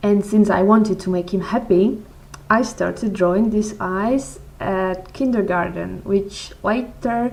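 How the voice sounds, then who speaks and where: At a very slow pace, a woman speaks at a medium pitch with fairly even intonation. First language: not English. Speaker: blogger answering follower questions. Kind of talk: casual Q&A vlog. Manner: halting, frequent repetitions and fillers.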